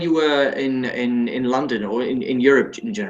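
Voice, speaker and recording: There is audible room echo as a man talks. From Germany, Frankfurt. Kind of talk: casual chat. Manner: halting.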